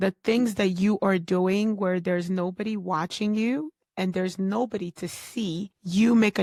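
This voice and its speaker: A woman with a plain, everyday voice speaks fairly slowly at a medium pitch with ordinary pitch variation. The recording is very clean and dry, close with no echo, over a silent background. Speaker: podcast host. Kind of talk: solo podcast talk on personal development. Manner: conversational, earnest, motivational.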